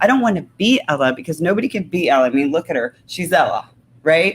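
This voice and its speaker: The woman sounds animated. Her intonation is lively. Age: 50s. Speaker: talk show host. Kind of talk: casual chat.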